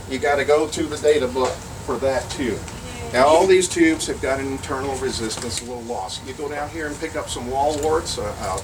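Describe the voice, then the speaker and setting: A man with a fairly high pitch talks at a fairly quick pace amid audible room echo and noticeable background noise. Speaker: workshop presenter on vacuum tubes. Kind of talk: lecture. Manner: fast.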